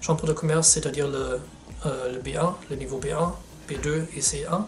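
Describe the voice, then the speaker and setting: A man with a German accent speaks at a moderate pace and a fairly high pitch over noticeable background noise. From Germany. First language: German (speaking French). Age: 20s. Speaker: sales representative. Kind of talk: testimonial interview. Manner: halting, with hesitations.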